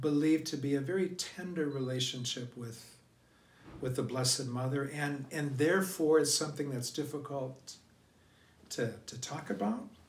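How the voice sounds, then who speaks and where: Audible room echo surrounds a man speaking at a moderate pace, fairly high in pitch, with ordinary pitch variation. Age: 60s. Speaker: priest. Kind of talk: sermon. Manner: halting.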